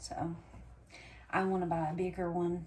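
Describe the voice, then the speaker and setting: A woman speaks quietly at a moderate pace in a fairly low pitch, with audible room echo and noticeable background noise. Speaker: homesteading vlogger. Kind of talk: casual vlog talk. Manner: talking low, quiet.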